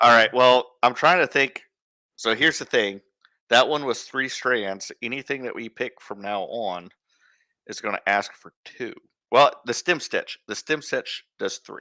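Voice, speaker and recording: A man with an Iowa accent, medium pitch and a bright, sharp tone at a fairly slow pace, with big swings in loudness and a dry, close sound with no echo. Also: ordinary pitch variation. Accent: Iowa accent, northern US. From Iowa, US Midwest. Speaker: embroidery teacher, friend of host. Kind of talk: casual instructional chat. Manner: halting, repeats words.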